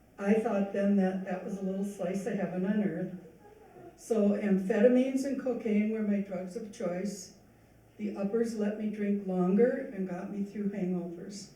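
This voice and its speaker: There is noticeable noise in the background. The talking proceeds at a moderate pace. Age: 70s. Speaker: speaker sharing recovery story. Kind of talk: testimony. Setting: church event with audience.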